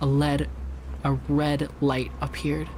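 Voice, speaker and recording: Background noise is noticeable here. The voice is a man's. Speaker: vtuber. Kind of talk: creepypasta reading. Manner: soft-spoken.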